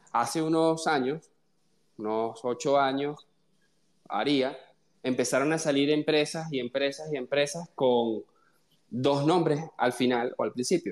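Pitch rises and falls in an ordinary way. Delivery is fairly slow. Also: man. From Venezuela. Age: 20s. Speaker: software engineer. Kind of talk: casual chat.

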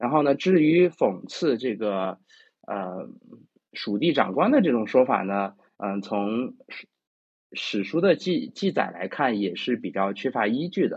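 Pitching his medium voice through very wide swings, a man talks at a fairly slow pace. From China, Chengdu (Sichuan). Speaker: classical literature presenter. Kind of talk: lecture. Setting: online voice chat room. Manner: hesitant, many fillers.

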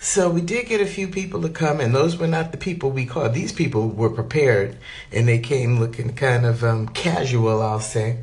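With an animated tone and lively intonation, a woman speaks at a very deep, low pitch. Noticeable background noise is present. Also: moderate pace. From New Jersey. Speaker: vlogger. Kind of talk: casual vlog monologue.

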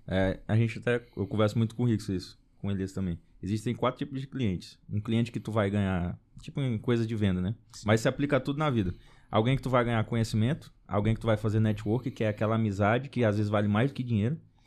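A man with a fairly low voice talks very fast, his pitch moving by an ordinary amount. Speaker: podcast host. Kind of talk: casual chat.

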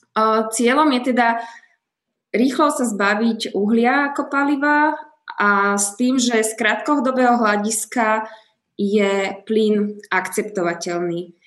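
At a very slow pace, a woman speaks with a fairly high pitch and ordinary pitch variation. Audible room echo is present. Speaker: podcast host. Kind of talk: interview.

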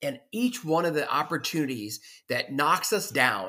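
Loud and animated, this passionate voice has a bright, sharp tone and very wide pitch swings at a moderate pace, on a very clean recording with a silent background. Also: man. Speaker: podcast host. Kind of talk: motivational solo monologue. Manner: loud, passionate, confident; animated, motivational.

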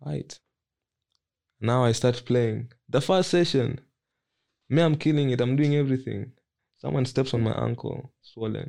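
A man's dark, mellow tone broken by long, frequent pauses. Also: medium pitch for a man, ordinary pitch variation, moderate pace. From Malawi. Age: 20s. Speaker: professional footballer. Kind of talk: casual interview.

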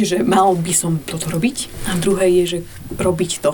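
Fairly slow speech from a woman against noticeable background noise. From eastern Slovakia (Šariš/Spiš border, grew up in Pusté Pole). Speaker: director of an education project. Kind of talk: interview conversation.

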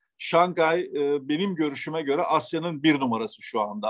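Moderate pace and ordinary pitch variation from a man with a fairly high pitch. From Turkey (Eskişehir, Istanbul). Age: 60s. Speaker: automotive quality executive. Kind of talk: interview. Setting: remote call. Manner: halting, frequent fillers.

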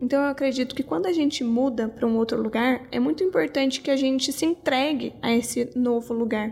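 A woman's high-pitched voice at a fairly quick pace, hardly any pauses, ordinary pitch variation, very even loudness, music in the background. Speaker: podcast host. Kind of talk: reflective monologue.

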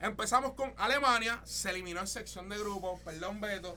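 A man's raised, projected voice with a bright, sharp tone, an animated tone and ordinary pitch variation. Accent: Puerto Rican. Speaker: podcast host. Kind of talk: casual chat.

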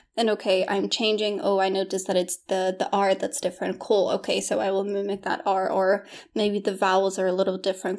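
The speaker has an American accent. The pace is fairly quick. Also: woman. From Poland. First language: Polish. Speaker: English teacher and coach. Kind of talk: casual interview conversation. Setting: video call interview.

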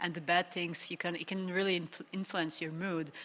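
In a Serbian accent, the speaker talks at a moderate pace with monotone, flat intonation. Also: woman. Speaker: professional footballer. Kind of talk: live panel discussion. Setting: live stage with audience.

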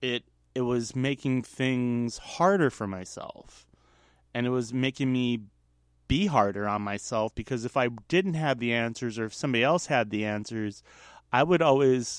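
The speaker talks at a moderate pace with ordinary pitch variation. The background is quiet. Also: man. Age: 40s. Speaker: solo podcaster. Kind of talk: personal monologue.

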